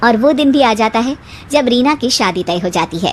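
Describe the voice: A woman's fairly high voice with lively intonation, at a moderate pace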